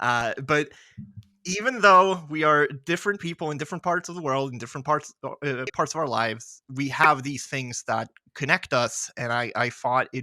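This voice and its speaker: A man's medium-pitched voice, bright and sharp in tone, with lively intonation at a moderate pace, dry and close with no echo, on a very clean recording with a silent background. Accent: slight Swedish. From Sweden. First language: Swedish. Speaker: podcast host. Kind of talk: casual chat.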